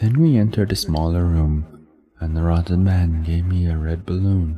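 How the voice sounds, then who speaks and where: A man speaks with a very deep, low pitch and ordinary pitch variation. His voice is somewhat breathy. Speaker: horror story narrator. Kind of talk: horror poetry reading. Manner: slow, dark.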